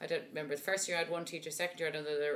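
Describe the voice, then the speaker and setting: A woman with a Dublin accent speaks very fast in a fairly low pitch. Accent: Dublin Irish. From Dublin, Ireland. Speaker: opera singer. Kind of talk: casual interview chat.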